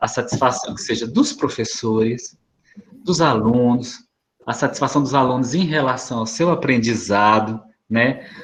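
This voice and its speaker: A man's medium-pitched, a normal speaking voice, with ordinary pitch variation at a moderate pace. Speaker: school staff presenting to parents. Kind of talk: presentation to parents in online meeting.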